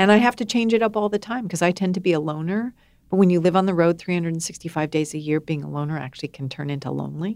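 A woman's fairly low voice at a very fast pace, with ordinary pitch variation, on a very clean recording with a silent background. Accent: American. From US (grew up in a wealthy family). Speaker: author and speaker. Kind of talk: interview.

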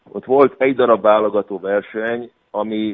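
A man speaks with monotone, flat intonation at a fairly low pitch. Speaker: canoe coach. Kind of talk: radio interview.

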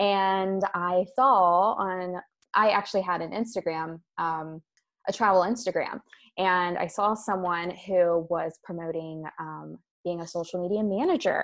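In a Mid-Atlantic accent, a woman speaks with fairly even intonation against a quiet background. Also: medium pitch for a woman, fairly slow pace. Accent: American, Mid-Atlantic. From US, Maryland. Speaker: sales and marketing coach. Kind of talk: casual interview.

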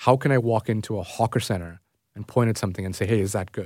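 The speaker talks with a Toronto accent on a very clean recording with a silent background. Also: man. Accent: Canadian English, Toronto. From Canada, Toronto suburbs (Scarborough). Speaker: food travel journalist. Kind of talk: interview. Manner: hesitant, many fillers.

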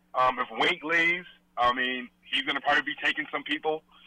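Here is a man with an ordinary speaking voice. He talks at a fairly quick pace and a fairly high pitch. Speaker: caller. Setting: phone call.

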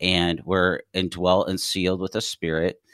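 At a moderate pace, a man speaks with a very deep, low pitch. The sound is dry and close with no echo, on a very clean recording with a silent background. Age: 40s. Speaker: author and ministry director. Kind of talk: radio interview. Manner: halting, many fillers and restarts.

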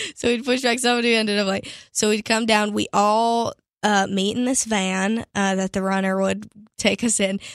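Recorded very cleanly against a silent background with a dry, close sound and no echo, a woman with an American accent talks at a moderate pace in a fairly high pitch and a monotone, flat intonation. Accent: doesn't sound like Pittsburgh. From Pittsburgh, Pennsylvania. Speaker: country singer. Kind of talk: interview.

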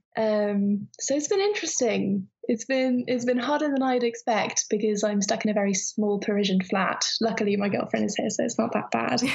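A woman with a British accent speaks at a moderate pace in a fairly high voice, keeping her loudness very even, her pitch variation ordinary and her pauses almost nonexistent. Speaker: interviewee. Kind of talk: casual chat. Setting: phone call. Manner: halting.

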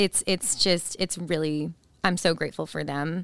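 Speaking at a moderate pace in an unremarkable speaking voice, a woman with an American accent keeps her pitch fairly low. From northern Virginia / DC area. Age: 30s. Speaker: former NFL cheerleader, coach's wife. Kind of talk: casual interview chat.

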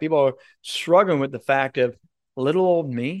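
Against a quiet background, a man has a plain, everyday voice. His pitch is fairly high, with ordinary variation. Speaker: broadcast and speaking coach. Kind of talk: casual interview chat.

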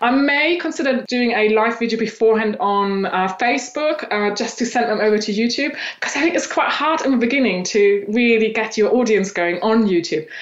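A woman at a fairly high pitch and fairly quick pace, lively in intonation, amid audible room echo and noticeable background noise. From Eastern Germany. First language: German. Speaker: personal branding coach. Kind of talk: interview.

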